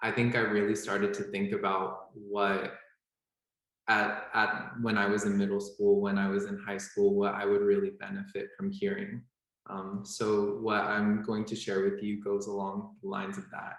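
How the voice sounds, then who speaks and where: A man with an American accent speaks at a moderate pace and a fairly low pitch. His intonation stays monotone and flat, with audible room echo. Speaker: medical student. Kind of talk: panel talk.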